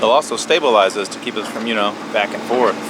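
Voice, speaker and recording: Noticeable background noise is present. Through it, a man talks at a fairly quick pace. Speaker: sailing vlogger. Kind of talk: casual vlog narration. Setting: outdoors on a sailboat at sea. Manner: loud.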